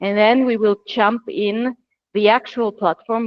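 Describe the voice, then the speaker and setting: A woman speaks with an Austrian accent. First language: German. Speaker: platform consultant. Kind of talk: webinar presentation. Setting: video call.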